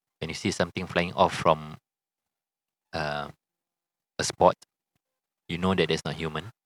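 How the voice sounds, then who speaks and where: A man speaks with a Singaporean accent in a very deep, low pitch and a flat, monotone delivery. His pace is moderate, broken by long, frequent pauses, and the sound is dry and close with no echo. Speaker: podcast co-host. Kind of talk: casual chat.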